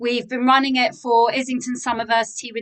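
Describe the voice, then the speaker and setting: A woman speaks in a fairly high voice with monotone, flat intonation. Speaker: workshop leader and coach. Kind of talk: presentation on video call. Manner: fast.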